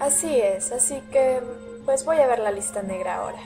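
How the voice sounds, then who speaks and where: Clear music sounds in the background. Over it, a woman talks with ordinary pitch variation. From Peru. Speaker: video blogger. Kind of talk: casual vlog talk to camera. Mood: playful, joking. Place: home room. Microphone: webcam.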